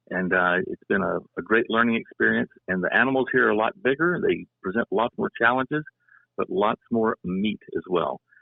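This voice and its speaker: A man at a moderate pace with a slight Southern US accent. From US South, Louisiana. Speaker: retired professor and hunter. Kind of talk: casual podcast discussion.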